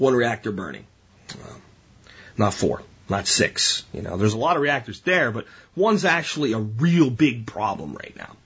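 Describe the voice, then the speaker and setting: Animated in tone, a man with an American accent speaks at a medium pitch and moderate pace, with very wide pitch swings and long, frequent pauses. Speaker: podcast host. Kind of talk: solo podcast monologue.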